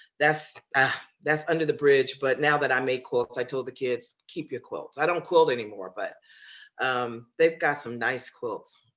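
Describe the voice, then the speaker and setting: A woman's very deep, low pitch with an American accent, ordinary pitch variation and a moderate pace. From US Pacific Northwest, Seattle. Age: 70s. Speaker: grandmother and retired quilter. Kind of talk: long-form interview. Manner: halting, with many fillers.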